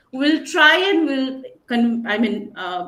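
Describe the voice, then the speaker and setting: A woman at a high pitch, with very wide pitch swings, a fairly slow pace and audible room echo. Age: 40s. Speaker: panelist. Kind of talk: panel discussion.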